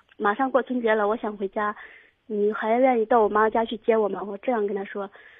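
A woman speaks at a moderate pace. Her fairly high pitch carries fairly even intonation. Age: 20s. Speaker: caller. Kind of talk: call-in advice. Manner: halting.

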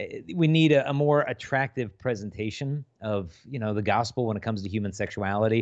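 A plain, everyday voice with ordinary pitch variation over a quiet background. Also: man, medium pitch for a man, fairly quick pace. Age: 40s. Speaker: chastity speaker. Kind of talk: podcast interview. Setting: video call.

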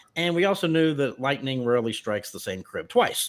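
A man talks at a fairly quick pace in a normal speaking voice with lively intonation. The recording is very clean, and the background is silent. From US South (Memphis, Tennessee). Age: 50s. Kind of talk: personal testimony interview.

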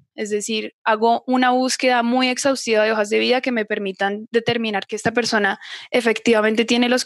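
A woman rushes along at a very fast pace in a fairly high pitch, her intonation monotone and flat, the sound dry and close with no echo. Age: 20s. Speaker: psychologist. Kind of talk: interview.

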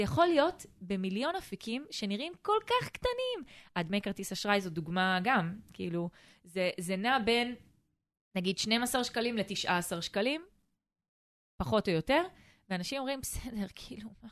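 Against a quiet background, a woman with a fairly high pitch talks at a moderate pace with very wide pitch swings. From Israel, Eilat. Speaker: family finance advisor, podcast co-host. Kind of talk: casual chat.

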